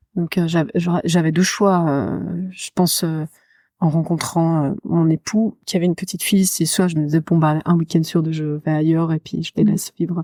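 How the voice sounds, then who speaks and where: A woman's fairly low, dark and mellow voice at a moderate pace, fairly even in intonation, in a very clean, dry, close recording with no echo and a silent background. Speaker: lullaby singer and children's show performer. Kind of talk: interview answer. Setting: library, poor microphone recording.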